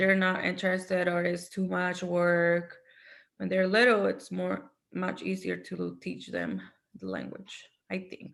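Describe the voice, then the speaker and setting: Her pace is fairly slow. The woman talks in a Spanish accent. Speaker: Spanish teacher. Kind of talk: casual discussion.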